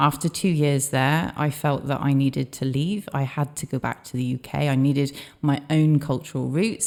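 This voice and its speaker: With a slight Welsh accent, a woman speaks at a moderate pace in a very deep, low pitch with a dark, mellow tone, in a very clean recording with a silent background. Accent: slight Welsh twang. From Australia. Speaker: business owner. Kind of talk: interview.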